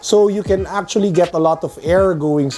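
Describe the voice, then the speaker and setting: Music playing behind a man talking at a moderate pace. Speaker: sneaker and tech reviewer. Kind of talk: casual talk to camera.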